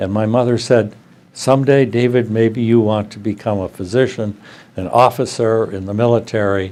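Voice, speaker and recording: A man speaks with an Upper Midwest accent. His medium-pitched voice has a dark, mellow tone. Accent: Upper Midwest American. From US Midwest, rural Wisconsin near Tomah. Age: 80s+. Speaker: psychiatrist and professor. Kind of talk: interview. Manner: halting, many fillers.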